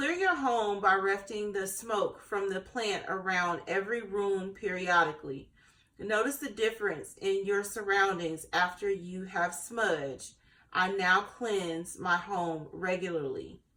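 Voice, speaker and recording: Over noticeable background noise, a woman talks at a fairly slow pace with a medium pitch and ordinary pitch variation. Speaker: tarot and intuitive reader. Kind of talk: spiritual card reading to camera. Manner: casual, hesitant with many fillers.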